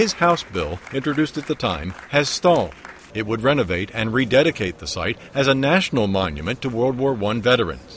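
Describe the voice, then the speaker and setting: Over crowd noise in the background, a man speaks at a fairly quick pace with a medium pitch and very wide pitch swings. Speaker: TV news reporter. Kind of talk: TV news report narration.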